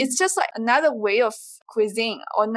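A woman is speaking. Her voice is fairly high and her pace is moderate. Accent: Chinese. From southeastern China. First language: Chinese. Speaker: PhD graduate in natural resource sciences. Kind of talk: casual interview. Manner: hesitant, many fillers.

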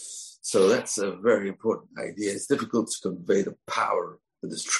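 Against a quiet background, the clip offers an unforced reading voice.

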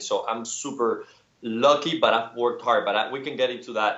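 A man with a Spanish accent at a fairly quick pace. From Cuba. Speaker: painter. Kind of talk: casual interview chat.

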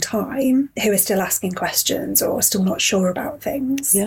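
The recording is very clean, with a silent background. A woman speaks at a medium pitch, somewhat breathy. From Yorkshire. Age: 30s. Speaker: fitness client. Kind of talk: casual interview chat.

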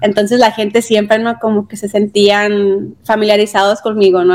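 A woman with a plain, everyday voice speaks at a moderate pace with a fairly high pitch. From Mexico, Sonora (Caborca/Pitiquito). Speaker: journalist and journalism teacher. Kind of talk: interview.

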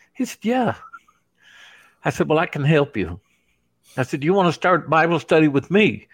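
A man's fairly high pitch with vocal fry, lively intonation, a moderate pace, and long, frequent pauses. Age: 60s. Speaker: evangelist and prison ministry volunteer. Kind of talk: interview testimony.

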